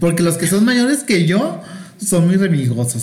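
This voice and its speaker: Very wide pitch swings at a moderate pace, with noticeable background noise and audible room echo. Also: man. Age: 40s. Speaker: guest, friend of host. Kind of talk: casual chat. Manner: campy, playful.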